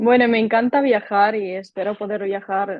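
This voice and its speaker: A medium-pitched woman's voice with a Ukrainian accent, fairly slow in pace and fairly even in intonation. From Ukraine. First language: Ukrainian (speaking Spanish). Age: 20s. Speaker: volunteer. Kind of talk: interview.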